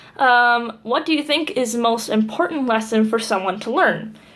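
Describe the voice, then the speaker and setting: Fairly slow, fairly high-pitched voice of a woman. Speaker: vlogger. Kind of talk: casual vlog Q&A. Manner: peppy on camera.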